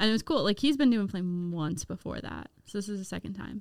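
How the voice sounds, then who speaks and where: A woman with a Midwestern American accent talks at a fairly quick pace and medium pitch. The recording is very clean, with a silent background. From US Midwest. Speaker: campus ministry leader. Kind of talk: casual chat.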